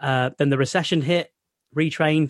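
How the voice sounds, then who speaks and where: This man talks at a moderate pace with a Mancunian accent. His intonation stays fairly even, and the sound is dry and close with no echo. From North Manchester, England. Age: 30s. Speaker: sports journalist, former science teacher. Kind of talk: interview.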